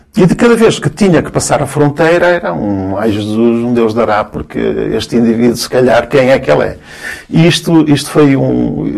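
In an ordinary speaking voice, a man at medium pitch talks at a moderate pace with lively intonation. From Cabo Verde, then Angola; raised in Guimarães, Portugal from 1975. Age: 50s. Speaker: sociologist and university lecturer. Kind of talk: casual interview conversation.

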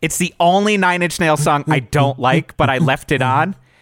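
Fairly high-pitched, a man with an American accent speaks in a plain, everyday voice at a moderate pace with lively intonation. The recording is very clean, with a silent background. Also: dry, close sound with no echo. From New England, near Boston. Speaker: podcast co-host, radio personality. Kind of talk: casual chat.

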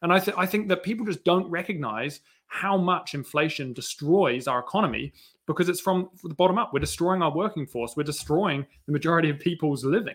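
Speaking at a fairly quick pace with a slight New Zealand accent, a man has a high pitch and ordinary pitch variation. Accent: slight New Zealand British. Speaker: education project founder, former mountain bike instructor. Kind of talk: casual panel chat.

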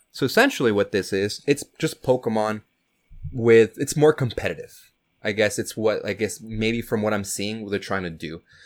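At a moderate pace, a man with a plain, everyday voice speaks fairly low in pitch with ordinary pitch variation. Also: very clean recording, silent background. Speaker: podcast co-host. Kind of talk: casual chat. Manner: casual, filler-heavy.

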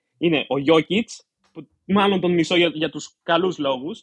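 Here a man with an unremarkable speaking voice talks at a moderate pace. His pitch is fairly high, with ordinary variation. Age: 20s. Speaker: doctoral candidate and paying podcast member. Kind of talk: casual chat.

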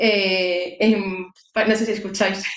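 Audible room echo surrounds a woman who speaks with monotone, flat intonation. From Málaga, Andalusia, Spain. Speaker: bird conservation volunteer. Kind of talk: interview. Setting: live stream.

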